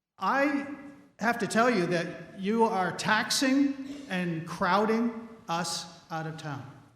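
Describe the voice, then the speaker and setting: A man speaks very slowly at a high pitch, with lively intonation and long, frequent pauses. Room echo is audible in the recording. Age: 60s. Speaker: resident speaking at town meeting. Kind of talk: public comment at town meeting. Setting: town meeting hall.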